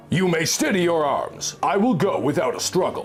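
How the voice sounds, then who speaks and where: A man's put-on character voice, high-pitched, at a moderate pace and very even loudness, over clear background noise. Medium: machinima. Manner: proud, defiant.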